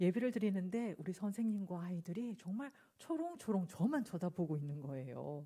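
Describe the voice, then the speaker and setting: A woman's somewhat breathy, dark and mellow voice in a Busan accent, medium in pitch, at a moderate pace with lively intonation. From South Korea, Busan. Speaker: pastor. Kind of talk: sermon. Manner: hesitant, filler-laden.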